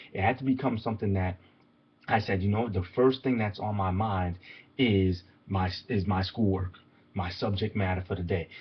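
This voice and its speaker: A man speaks in a fairly low, somewhat breathy voice. His intonation stays fairly even. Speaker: motivational coach. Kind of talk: motivational talk. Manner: fast.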